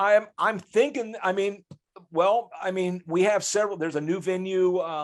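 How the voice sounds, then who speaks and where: At a moderate pace, a man with a high voice and an American accent speaks with ordinary pitch variation. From US Midwest, Grove City, Ohio. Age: 60s. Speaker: rock guitarist. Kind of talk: podcast interview. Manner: halting, frequent restarts.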